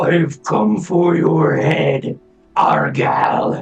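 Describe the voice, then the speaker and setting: Using a put-on character voice, a man speaks with a raspy, fairly high pitch. Faint music plays in the background. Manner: menacing.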